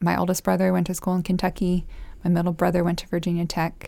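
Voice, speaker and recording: The background is silent and the recording is very clean. An American accent comes through in the speech. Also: woman. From Costa Rica and El Salvador, American missionary family. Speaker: former English teacher. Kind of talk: casual chat. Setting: sitting at a table with the host.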